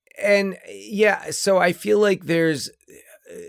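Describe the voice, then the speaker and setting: A man's very slow speech, dry and close with no echo. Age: 40s. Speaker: film podcast co-host. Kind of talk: casual chat. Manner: halting, many false starts.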